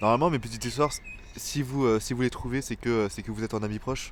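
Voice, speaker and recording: A man speaks very fast at a medium pitch, his intonation fairly even. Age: 20s. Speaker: vlogger. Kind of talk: personal video diary. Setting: outdoors in a park. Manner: halting, many fillers.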